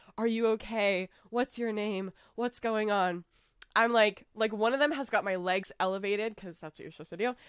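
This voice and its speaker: A woman with a normal speaking voice and an American accent talks at a moderate pace in a fairly high pitch with ordinary pitch variation and big swings in loudness, in a very clean, dry, close recording with a silent background and no echo. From United States. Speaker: podcast host. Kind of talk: casual chat.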